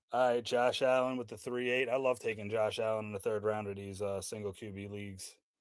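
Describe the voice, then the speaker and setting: Fairly even intonation marks this man's fairly low-pitched voice, heard on a very clean recording with a silent background. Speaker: livestreamer running fantasy football draft. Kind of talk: live stream commentary. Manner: fast; casual.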